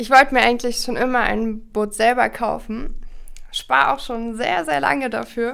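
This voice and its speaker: Moderate in pace, a woman speaks in an unremarkable speaking voice at a fairly high pitch with ordinary pitch variation. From Berlin, Germany. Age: 20s. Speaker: student sailor. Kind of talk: casual interview. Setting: studio, in person.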